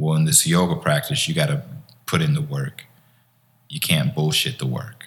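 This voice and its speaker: With a fairly low pitch and very wide pitch swings, a man speaks in a somewhat breathy voice at a moderate pace, leaving long, frequent pauses. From US Midwest, Chicago area. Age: 40s. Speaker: poet and teacher. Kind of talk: casual interview.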